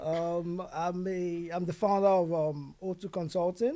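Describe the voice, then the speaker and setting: A dark, mellow tone marks this man's speaking voice. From Nigeria (Yoruba). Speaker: IT consulting founder. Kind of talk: podcast interview. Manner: hesitant, many fillers.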